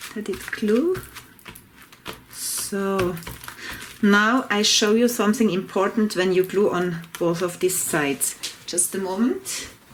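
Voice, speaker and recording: A woman with a non-native accent and medium pitch, very slow with long, frequent pauses, ordinary pitch variation, and noticeable background noise. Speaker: collage art teacher. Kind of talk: tutorial. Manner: halting.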